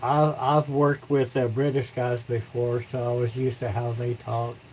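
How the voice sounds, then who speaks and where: At a moderate pace, a man talks in a medium pitch with monotone, flat intonation and a somewhat breathy sound. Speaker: woodturning livestreamer. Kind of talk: casual livestream chat. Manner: halting, repeats words.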